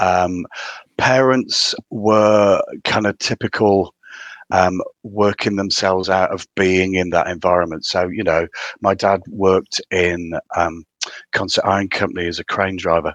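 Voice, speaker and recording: A man speaks with a strong northeast English accent at a very deep, low pitch and a fairly slow pace. The sound is dry and close with no echo, and his intonation is fairly even. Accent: strong northeast English (Durham). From County Durham, northeast England. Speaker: theatre director. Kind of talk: casual interview chat.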